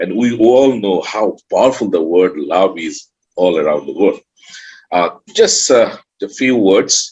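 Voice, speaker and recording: A man is speaking. He has a Bengali accent. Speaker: author and emotional intelligence trainer. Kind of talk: online summit talk.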